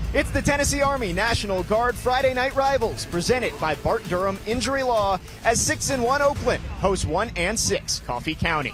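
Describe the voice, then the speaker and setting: Music plays in the background. The speech moves at a moderate pace with hardly any pauses. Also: man. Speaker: play-by-play broadcaster. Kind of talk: TV sports play-by-play.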